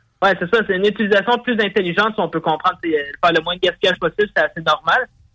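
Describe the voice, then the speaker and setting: A man talks at a very fast pace, his high pitch showing ordinary variation. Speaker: radio columnist. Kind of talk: radio commentary.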